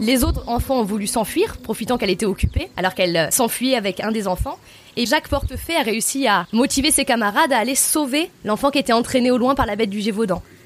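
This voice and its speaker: Racing along at a very fast pace, a woman speaks with fairly high pitch and lively intonation. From France, Lozère. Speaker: tour guide. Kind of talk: storytelling.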